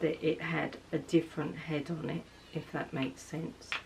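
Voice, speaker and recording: A woman with a very deep, low pitch and an English accent speaks at a moderate pace over noticeable background noise. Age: 60s. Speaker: beauty vlogger. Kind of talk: casual chat. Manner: chatty.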